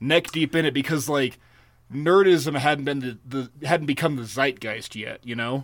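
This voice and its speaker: A man with a plain, everyday voice speaks at a moderate pace with lively intonation, on a very clean recording over a silent background. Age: 30s. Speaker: podcast co-host. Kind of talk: casual chat.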